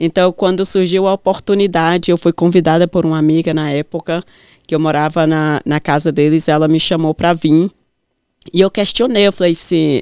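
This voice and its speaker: Moderate pace and ordinary pitch variation in a very clean recording with a silent background and dry, close sound with no echo. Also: woman. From northern Minas Gerais, Brazil. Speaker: businesswoman. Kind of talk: interview testimony.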